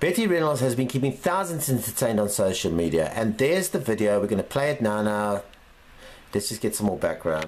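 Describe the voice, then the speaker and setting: Upbeat in tone, a man speaks at a fairly quick pace. His voice makes very wide pitch swings. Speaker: news show host. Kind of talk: casual news commentary. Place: home room. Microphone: webcam.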